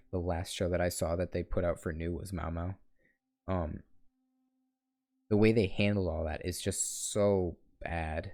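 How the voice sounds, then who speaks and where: A man mumbles at a fairly slow pace, his very deep, low pitch and dark, mellow tone staying monotone and flat. Long pauses come often. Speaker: gaming youtuber. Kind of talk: solo rant while gaming. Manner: mumbling; halting, stuttering.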